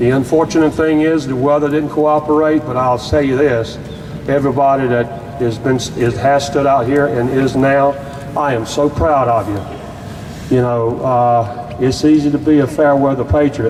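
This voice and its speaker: With a North Carolina accent, a man speaks at a moderate pace in a fairly high voice, his intonation fairly even and his loudness very even, amid noticeable background noise. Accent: Southern US (North Carolina). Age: 60s. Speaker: activist group member, veteran. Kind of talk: rally speech. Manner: halting.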